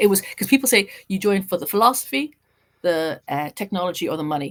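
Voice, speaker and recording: Talking at a very fast pace, a woman uses very wide pitch swings and an Irish accent. The recording is very clean, with a silent background. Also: medium pitch for a woman. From Ireland. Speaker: journalist and writer. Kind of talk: casual interview. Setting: podcast interview.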